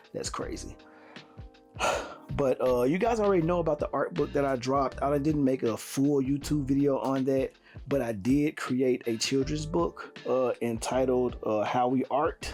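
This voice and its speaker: Music plays in the background as a man speaks at a moderate pace. His pitch is fairly high, with ordinary variation. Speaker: artist and YouTuber. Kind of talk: casual vlog update. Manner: casual, lots of fillers.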